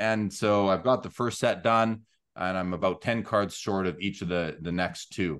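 A man talks at a moderate tempo with fairly even intonation and a fairly low pitch, the background quiet. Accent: Canadian Prairies. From Canada, Winnipeg. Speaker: sports card show host and grading company employee. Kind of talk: casual interview chat.

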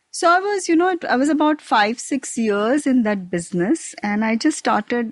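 A woman speaks at a fairly slow pace with very wide pitch swings, recorded with a dry, close sound and no echo. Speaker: chef and restaurateur. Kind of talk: casual interview chat.

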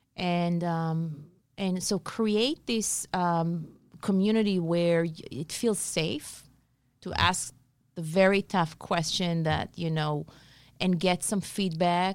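Intonation stays fairly even at a very slow pace. The recording is very clean with a silent background. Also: woman, fairly low pitch for a woman. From Israel. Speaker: business founder and mentor. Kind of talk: casual interview chat. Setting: studio.

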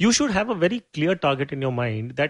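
A man at a fairly quick pace and fairly high pitch, against a quiet background. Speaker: certified financial planner. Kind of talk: interview.

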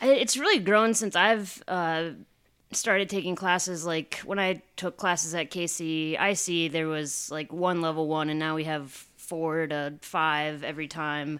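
With a Midwestern US accent, a woman speaks in a fairly low voice with ordinary pitch variation. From Iowa. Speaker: improv comedian. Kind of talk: casual chat.

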